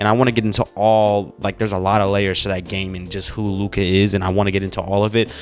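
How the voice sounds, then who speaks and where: Music plays behind a man with a fairly low pitch. He talks at a very fast pace. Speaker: basketball commentator, youtuber. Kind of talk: casual monologue. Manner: animated.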